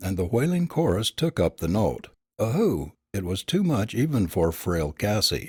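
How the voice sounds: Quiet background, natural reading voice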